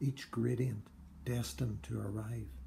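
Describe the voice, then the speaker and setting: Light background noise under a man's fairly slow speech. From Northern Ireland. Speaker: poet. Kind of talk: poem reading, performed. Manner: measured, literary delivery; formal. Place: home room. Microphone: phone near.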